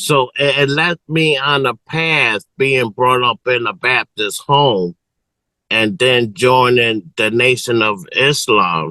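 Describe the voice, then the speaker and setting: Heard dry and close with no echo, a man at medium pitch speaks at a very slow pace in a bright, sharp tone, with very even loudness and ordinary pitch variation. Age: 60s. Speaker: community elder and spiritual leader. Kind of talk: interview. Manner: halting.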